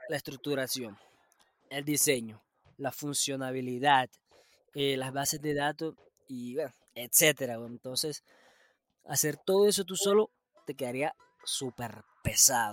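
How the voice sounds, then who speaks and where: In a very clean recording with a silent background and a dry, close sound with no echo, a man speaks at a fairly slow pace and fairly high pitch, with ordinary pitch variation, big swings in loudness and long, frequent pauses. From Colombia. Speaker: podcast host. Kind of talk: casual chat.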